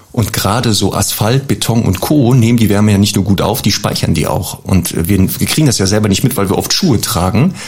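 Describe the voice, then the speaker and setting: A man talking at a fairly quick pace with hardly any pauses, ordinary pitch variation, and noticeable background noise. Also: fairly low pitch for a man, very even loudness. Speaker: dog trainer. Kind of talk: advice segment.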